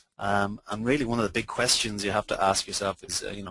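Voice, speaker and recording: A man with an Irish accent talks very fast in a fairly low, monotone voice with a bright, sharp tone. The sound is dry and close, with no echo. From Ireland. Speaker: social media consultant. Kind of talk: webinar presentation. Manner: halting, many fillers.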